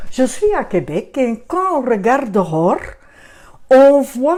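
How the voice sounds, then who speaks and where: The woman's voice is high-pitched. Its tone comes across as dark and mellow. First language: Dutch (Flemish) (speaking French). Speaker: children's book author and photographer. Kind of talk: book presentation. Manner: halting.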